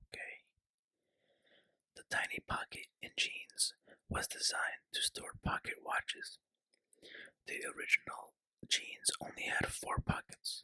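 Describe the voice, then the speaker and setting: The speaker whispers at a fairly slow pace, with long, frequent pauses. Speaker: ASMR creator. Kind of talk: ASMR whispered fact reading. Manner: whispered.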